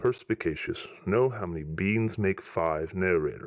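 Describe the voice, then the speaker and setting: Here a man talks with a fairly low pitch. His pace is moderate. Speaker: story narrator. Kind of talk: scripted narration. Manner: formal.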